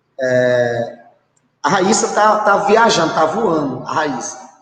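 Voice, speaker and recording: A man's fairly high voice carries audible echo from the room. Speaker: physical education teacher. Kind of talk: online class lecture. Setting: live online class, alone in a room. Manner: fast; halting, many filler sounds.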